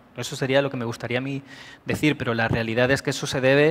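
The man's voice sits at a medium pitch with ordinary pitch variation. He moves at a fairly quick pace. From Spain. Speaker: IT director; conference presenter. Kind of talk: conference talk. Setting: stage with audience. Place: hall.

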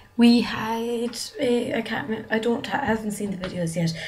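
Light background noise sits behind the voice. A woman speaks at a moderate pace in a Donegal accent. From Ireland. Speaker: vlogger. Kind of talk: casual vlog. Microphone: webcam.

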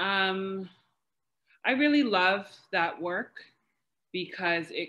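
A woman with an American accent at a very slow pace. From New York City. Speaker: PhD researcher, historian. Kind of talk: academic panel discussion. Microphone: video call.

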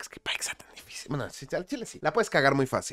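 A man with a Mexican accent speaks in an animated tone with very wide pitch swings. The sound is dry with no echo and the background quiet. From Mexico. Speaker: gaming video creator. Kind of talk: casual commentary video. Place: home room. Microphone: studio mic.

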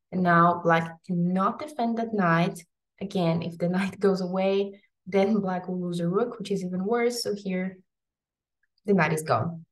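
A woman's somewhat breathy, medium-pitched voice at a fairly slow pace with fairly even intonation. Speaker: chess teacher. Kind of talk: tutorial. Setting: home video recording. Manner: casual, slightly hesitant.

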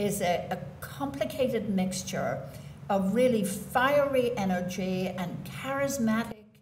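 A woman with an Irish accent speaks very slowly, her intonation lively. The room echo is audible, and there is light background noise. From Ireland. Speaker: poet. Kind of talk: literary talk at a poetry reading. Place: hall.

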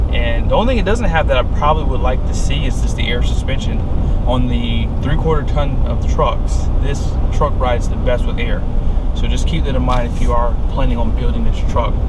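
This man talks fairly quickly, with loud background noise behind him. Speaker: truck reviewer. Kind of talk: casual vlog chat. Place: car. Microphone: phone near.

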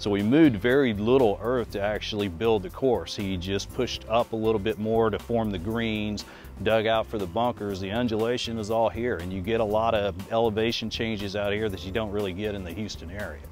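Faint music plays behind a man with a fairly low pitch and ordinary pitch variation, talking at a fairly quick pace with hardly any pauses in a dry sound with no echo. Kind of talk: interview answer. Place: open country. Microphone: lapel.

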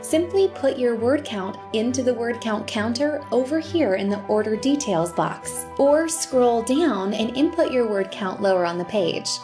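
A woman with an American accent speaks at a moderate pace with lively intonation and a fairly high pitch. Clear music plays in the background. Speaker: voice actor; audiobook narrator. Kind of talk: sales pitch to camera. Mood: warm, friendly, upbeat. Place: home room.

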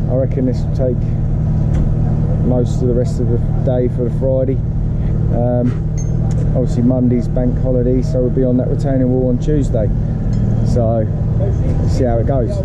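Long, frequent pauses break up a man's moderate pace, all beneath loud background noise. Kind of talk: casual vlog chat. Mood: relaxed, upbeat Friday. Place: street. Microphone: phone near.

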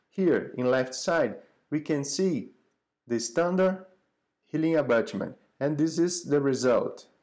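A man with a Portuguese accent, a dark, mellow tone, a fairly high pitch, lively intonation and a fairly slow pace, on a very clean recording with a silent background. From Brazil. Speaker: dental professor. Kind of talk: lecture.

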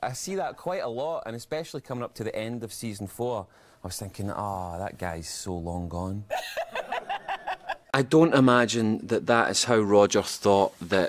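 A man with a Scottish accent, medium pitch, and big swings in loudness, over light background noise. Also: moderate pace. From Scotland. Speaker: actor. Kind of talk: interview answer. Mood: relaxed, good-humoured.

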